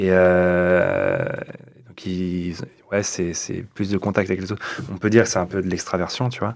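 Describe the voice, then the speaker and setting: Pausing long and often, a man speaks in a very deep, low pitch with monotone, flat intonation. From France, Rennes. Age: 30s. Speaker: artist, guest. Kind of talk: casual chat. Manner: hesitant.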